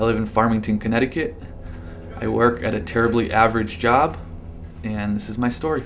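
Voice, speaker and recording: Audible room echo and noticeable background noise surround fairly quick speech with fairly even intonation and long, frequent pauses. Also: man, medium pitch for a man. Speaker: adventure motorcyclist. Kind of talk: testimony. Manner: slurred.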